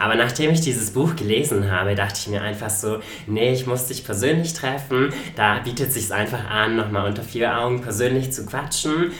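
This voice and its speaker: Over noticeable background noise and audible room echo, a man talks at a moderate pace. His pitch is medium, with ordinary variation. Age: 20s. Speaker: podcast host. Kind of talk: casual chat.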